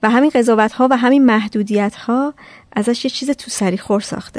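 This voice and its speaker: A woman with an ordinary speaking voice and ordinary pitch variation sounds dry and close with no echo against a quiet background. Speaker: podcast host. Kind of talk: scripted narration.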